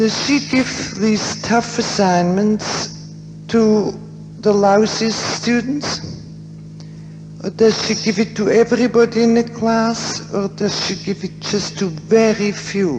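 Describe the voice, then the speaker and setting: Music plays in the background as the speech proceeds at a very slow pace. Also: woman. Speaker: psychiatrist and author on death and dying. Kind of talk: conference lecture. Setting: theater, poor quality recording. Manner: quiet.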